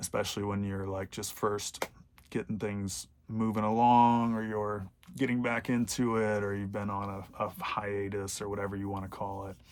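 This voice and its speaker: A man speaks quietly with monotone, flat intonation. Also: fairly low pitch for a man, moderate pace. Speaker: vlogger. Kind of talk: casual vlog monologue. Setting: inside a bomb shelter. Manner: quiet, low volume; hesitant, many fillers.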